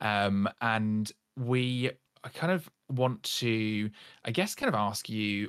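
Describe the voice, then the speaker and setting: A man's normal speaking voice, fairly low in pitch with ordinary pitch variation, dry and close with no echo, in a very clean recording over a silent background. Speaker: podcast host. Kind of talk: casual chat.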